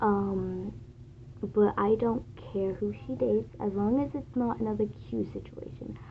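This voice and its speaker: A woman speaks quietly at a fairly slow pace. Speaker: fan vlogger. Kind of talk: casual monologue. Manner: hesitant, many fillers.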